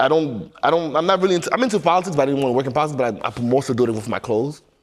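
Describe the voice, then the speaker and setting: Against noticeable background noise, a man talks very fast in a fairly high voice with ordinary pitch variation. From France (born Equatorial Guinea), then New York from age eleven. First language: French. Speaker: clothing brand founder. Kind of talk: casual interview.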